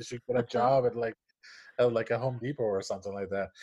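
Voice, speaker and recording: The recording is very clean, with a silent background. A man with a Spanish accent speaks in a medium pitch with fairly even intonation. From Puerto Rico. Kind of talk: casual interview chat. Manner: hesitant, many fillers and repetitions.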